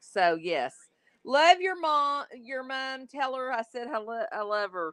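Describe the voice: Her Texas accent comes through as this woman talks at a fairly slow pace with very wide pitch swings. The sound is dry and close, with no echo.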